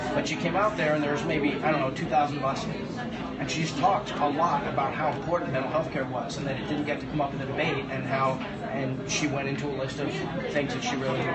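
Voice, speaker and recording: Loud background noise fills the recording. A man talks over it at a very fast pace. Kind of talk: conversational answer to a question. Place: cafe. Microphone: phone near.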